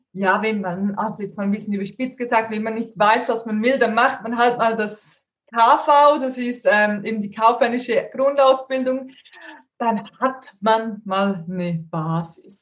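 A woman talks at a fairly slow pace with a somewhat breathy voice. Her pitch sits fairly high and moves in an ordinary way. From Switzerland. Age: 30s. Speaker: career coach. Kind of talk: interview.

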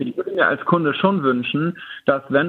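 A fairly quick pace with ordinary pitch variation. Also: man. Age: 40s. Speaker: IT consultant for insurers. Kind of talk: casual expert discussion. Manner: hesitant, many filler sounds.

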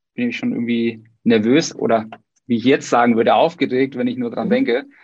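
In a normal speaking voice, a man of medium pitch talks at a moderate pace with fairly even intonation. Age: 30s. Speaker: podcast host. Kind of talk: casual interview.

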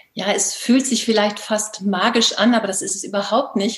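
A woman at medium pitch and moderate pace, with noticeable background noise. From northern Germany, Baltic coast. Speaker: life coach. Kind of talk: interview.

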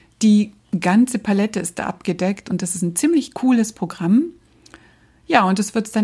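Her voice is somewhat breathy, with a dark, mellow tone at a medium pitch for a woman. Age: 50s. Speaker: podcast host, brand designer and trainer. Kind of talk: solo podcast monologue.

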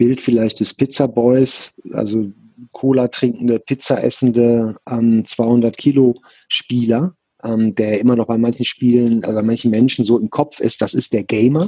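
A man talks fairly slowly at medium pitch, with fairly even intonation. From Ruhr area, Germany (Bochum). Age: 50s. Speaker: esports foundation director. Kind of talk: interview. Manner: hesitant with many fillers.

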